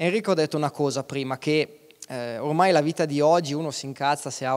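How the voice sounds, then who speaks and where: A man talks at a fairly quick pace with a quiet background behind him. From Aosta Valley, Italy (Valtournenche); Aosta Valley, Italy. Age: 30s. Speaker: mountain guide and alpinist; mountain guide. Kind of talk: talk on stage. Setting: stage with audience. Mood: relaxed, smiling. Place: stage. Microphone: handheld.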